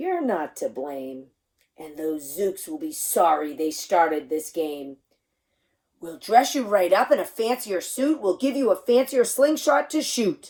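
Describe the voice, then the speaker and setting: A put-on character voice that sounds female growls at a middle pitch, moving at a fairly slow pace with very wide pitch swings. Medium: read story. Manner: jolly, confident.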